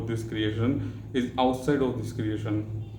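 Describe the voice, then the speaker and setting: A man's somewhat breathy, dark, mellow voice with an Indian accent, monotone and flat in intonation, with audible room echo. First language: Hindi. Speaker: spiritual vlogger. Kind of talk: spiritual talk. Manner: halting.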